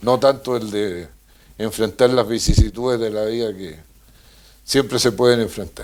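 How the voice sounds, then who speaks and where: With a Chilean accent, a man talks at a fairly slow pace at medium pitch, with ordinary pitch variation, big swings in loudness, and long, frequent pauses. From Chile, countryside near Valdivia. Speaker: former politician. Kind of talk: interview.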